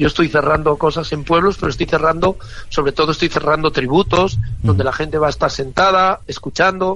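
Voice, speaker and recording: The man's voice is fairly high, with ordinary pitch variation. He speaks at a very fast pace. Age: 60s. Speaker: singer. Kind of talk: interview. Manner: animated.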